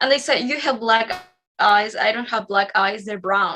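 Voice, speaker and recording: A woman speaks with a Spanish accent in a bright, sharp tone. Her pitch is fairly high, with ordinary variation. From Spain, Madrid. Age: 20s. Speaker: psychic medium. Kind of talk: interview conversation.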